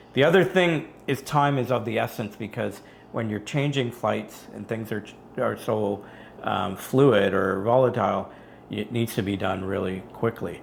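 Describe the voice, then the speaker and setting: Vocal fry runs through this man's fairly low voice. He speaks at a fairly slow pace. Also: ordinary pitch variation. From Canada. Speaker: engineer, travel video creator. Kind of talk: casual chat.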